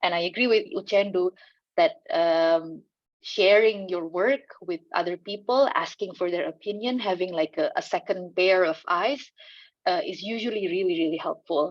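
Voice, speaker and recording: A woman with an Indonesian accent, medium in pitch, at a moderate pace. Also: ordinary pitch variation. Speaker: land rights organization communicator. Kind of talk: panel discussion. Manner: halting, many fillers.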